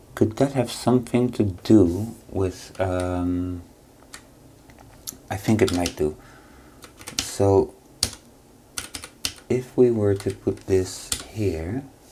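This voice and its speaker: Very slow speech broken by long, frequent pauses, over noticeable background noise. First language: not English. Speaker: programming tutorial creator. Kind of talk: tutorial. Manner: halting, many fillers.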